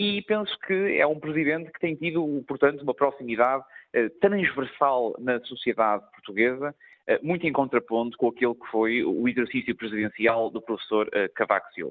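A man's fairly high-pitched, normal speaking voice, a normal speaking voice with lively intonation, big swings in loudness and a moderate pace. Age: young. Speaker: member of parliament. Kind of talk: radio interview.

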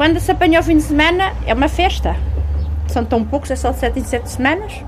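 With noticeable noise in the background, a woman talks at a moderate pace. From central Portugal. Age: 50s. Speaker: railway level-crossing keeper. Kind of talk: interview testimony.

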